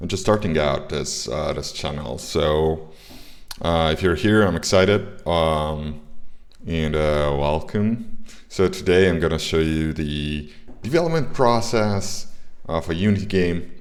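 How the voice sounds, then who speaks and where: Over music in the background and audible room echo, a man speaks at a fairly slow pace in a very deep, low voice with ordinary pitch variation. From Italy. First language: Italian. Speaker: indie game developer and streamer. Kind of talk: livestream tutorial. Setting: livestream. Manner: halting, many filler words.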